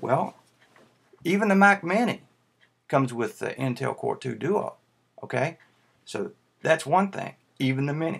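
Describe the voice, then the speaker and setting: With a Tennessee accent, a man talks at a moderate pace in a fairly high pitch, his intonation lively and his pauses long and frequent. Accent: Tennessee southern. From US South, Tennessee. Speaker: YouTuber, Mac fan. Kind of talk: casual video response vlog. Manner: halting, many fillers.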